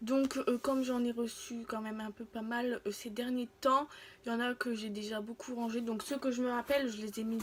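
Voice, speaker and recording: Noticeable background noise sits behind a woman's voice. She speaks at a high pitch with fairly even intonation. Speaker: YouTuber reviewing free samples. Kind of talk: casual vlog. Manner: halting, many fillers.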